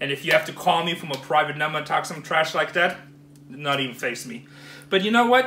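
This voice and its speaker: Audible room echo surrounds a man with a high pitch. He talks at a fairly quick pace with ordinary pitch variation. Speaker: storage auction buyer vlogger. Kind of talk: casual vlog chat, ranting. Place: home room. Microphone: phone near.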